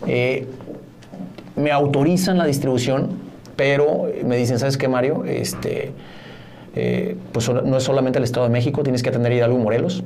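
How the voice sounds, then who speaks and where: A man at a medium pitch speaks at a moderate pace with fairly even intonation, very even loudness and long, frequent pauses, amid audible room echo and noticeable background noise. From Mexico, Mazatlán. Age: 40s. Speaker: corporate lawyer and businessman. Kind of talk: casual interview.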